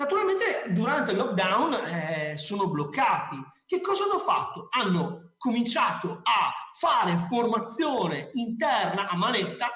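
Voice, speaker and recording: A man speaks in an extremely high pitch with very wide swings, his raised, projected voice animated and very even in loudness, at a fairly slow pace with audible room echo. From Veneto, Ponte di Piave area. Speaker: marketing speaker. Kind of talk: conference talk. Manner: informal, animated.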